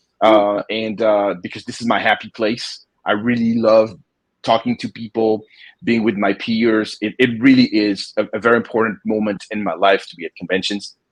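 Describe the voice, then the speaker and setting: The speaker talks with a French accent in a monotone, flat intonation. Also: man, fairly low pitch for a man, moderate pace, dry, close sound with no echo. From France, Paris. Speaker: comic book publisher and artist. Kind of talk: interview. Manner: halting, many repetitions.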